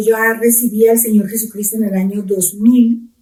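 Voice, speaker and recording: A woman speaks in an unremarkable speaking voice at a fairly high pitch. Her pace is moderate. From Colombia, Pitalito, Huila. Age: middle-aged. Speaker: pastor. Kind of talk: testimony.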